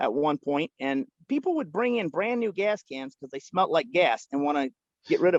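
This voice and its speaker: A loud, high-pitched male voice with an American accent and lively intonation, in a dry, close sound with no echo. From Pennsylvania, Lancaster County. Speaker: farmer with traveling animals. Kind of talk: casual interview.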